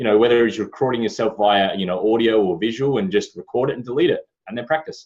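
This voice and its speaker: Talking at a very fast pace, a man with an Australian accent speaks in a medium pitch. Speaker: podcast host. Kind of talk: casual chat.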